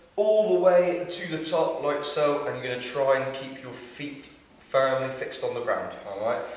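A man speaks at a moderate pace with big swings in loudness, and audible room echo surrounds his voice. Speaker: fitness instructor. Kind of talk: tutorial. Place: gym.

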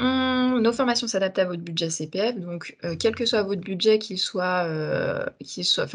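A woman speaks somewhat breathily at a fairly slow pace. Her pitch variation is ordinary. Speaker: communications and recruitment officer; webinar presenter. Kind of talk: webinar hosting. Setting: video call. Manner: hesitant, many fillers. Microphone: video call.

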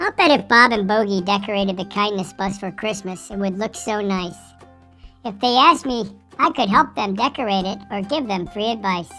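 With faint music in the background, a female-sounding voice at medium pitch for a woman performs a put-on character voice. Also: moderate pace.

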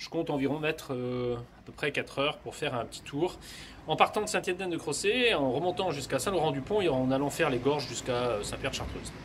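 A man speaks at a very fast pace. Light background noise is present. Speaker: travel vlogger. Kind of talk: casual vlog chat. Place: street. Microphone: phone near.

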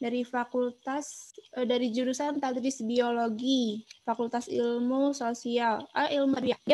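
The delivery is monotone with flat intonation at a fairly slow pace. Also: woman. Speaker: student moderator. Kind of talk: webinar moderation. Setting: video call. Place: home room. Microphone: video call.

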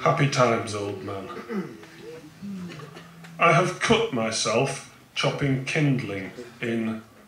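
A man speaks at a very slow pace with long, frequent pauses and lively intonation. Light background noise and audible room echo surround him. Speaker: poet. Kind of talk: poetry reading. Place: tent. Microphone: handheld.

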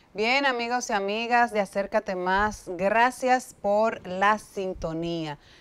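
This woman talks very slowly. The rise and fall of her pitch is ordinary. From Dominican Republic. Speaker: TV show host. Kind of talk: TV interview. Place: studio. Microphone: lapel.

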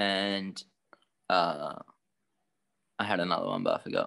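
A man speaks in an Australian accent at a fairly slow pace. The background is quiet. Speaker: guitarist. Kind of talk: casual interview. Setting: video call. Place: home room. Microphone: video call.

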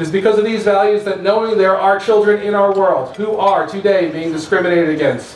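A man talks at a fairly quick pace, with light background noise and audible room echo. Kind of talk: formal event speech. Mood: warm, emotional, proud. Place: tent. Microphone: podium.

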